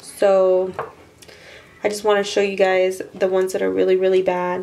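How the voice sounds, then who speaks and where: In a room with audible echo and noticeable background noise, a woman speaks at a moderate pace with monotone, flat intonation. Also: medium pitch for a woman. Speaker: beauty vlogger, freelance makeup artist. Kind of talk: tutorial. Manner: casual.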